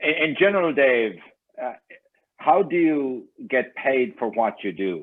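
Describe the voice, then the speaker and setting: A man's medium-pitched voice with very wide pitch swings and a non-native accent. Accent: noticeable foreign. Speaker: real estate agent, club member. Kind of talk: audience question.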